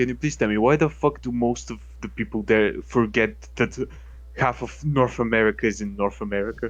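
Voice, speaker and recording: Music plays in the background while a man talks at a moderate pace. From Balkans, near Bosnia and Herzegovina. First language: non-English (Balkan language). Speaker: gaming podcast host. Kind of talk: casual chat. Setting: live stream. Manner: animated.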